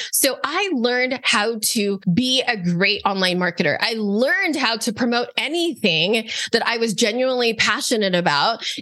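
A woman talks with hardly any pauses at a fairly high pitch, with very wide pitch swings and very even loudness over noticeable background noise. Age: 40s. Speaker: online business coach and founder. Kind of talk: interview.

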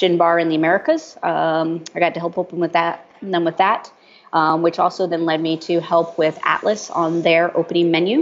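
A woman speaks with a fairly low pitch. Her delivery is at a moderate pace with monotone, flat intonation. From Europe. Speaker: gin brand ambassador. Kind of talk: casual interview. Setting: cafe.

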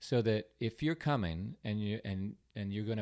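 In a very clean recording with a silent background, a man with an American accent and an unremarkable speaking voice talks at a moderate pace, his fairly low pitch varying in an ordinary way. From California, San Diego. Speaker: artist. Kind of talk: casual chat.

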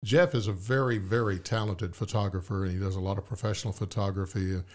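A man with a Southern US accent, fairly low-pitched and somewhat breathy, at a fairly quick pace on a very clean recording with a silent background. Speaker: podcast host and author. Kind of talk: interview conversation. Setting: studio.

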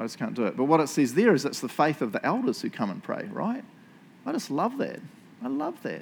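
A man with a New Zealand accent, fairly high-pitched, with vocal fry, very wide pitch swings and a fairly quick pace. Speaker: pastor. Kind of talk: sermon. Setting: church. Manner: animated.

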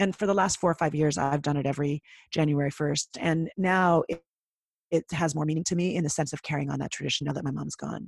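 Someone with a Canadian accent talks very fast, with vocal fry and fairly even intonation. The sound is dry and close, with no echo. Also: woman, very deep, low pitch for a woman. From Canada. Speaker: podcaster and speaker. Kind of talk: interview conversation.

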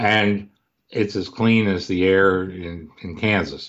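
Pitched very deep and low, a man speaks with fairly even intonation. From US Midwest (Cleveland, Ohio). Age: 60s. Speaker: author and investment researcher. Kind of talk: podcast interview.

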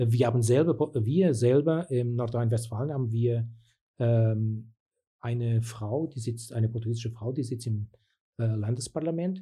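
A man talks with a dark, mellow tone at medium pitch, somewhat breathy, with ordinary pitch variation. The recording is very clean with a silent background. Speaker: community activist, local politician. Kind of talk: interview. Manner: halting.

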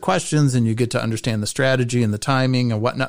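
A man's medium-pitched voice at a fairly quick pace, ordinary pitch variation, on a very clean recording with a silent background. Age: 50s. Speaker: podcast host. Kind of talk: casual chat. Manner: animated.

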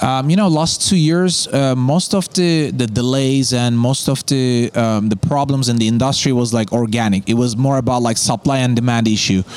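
Over noticeable background noise, a man talks at a moderate pace with hardly any pauses. His medium pitch shows ordinary variation, and his loudness stays very even. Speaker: freight forwarding company founder. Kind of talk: casual interview chat. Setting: in person at event.

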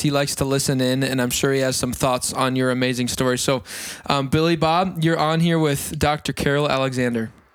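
The voice carries an American accent. It is an unremarkable speaking voice. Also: man. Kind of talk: casual chat. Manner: excitable.

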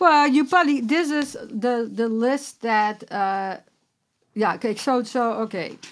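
A woman's fairly high voice at a fairly slow pace, with lively intonation. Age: 60s. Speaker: clinical nutritionist and herbalist. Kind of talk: interview conversation. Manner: halting, many fillers.

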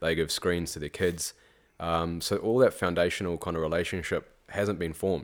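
On a very clean recording with a silent background, a man speaks in a very deep, low pitch at a moderate pace with fairly even intonation. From South Africa / New Zealand. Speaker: teacher. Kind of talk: casual chat.

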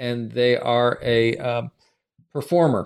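The recording is very clean, with a silent background. A man speaks in a plain, everyday voice at medium pitch with fairly even intonation. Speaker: podcast host. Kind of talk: casual conversation podcast.

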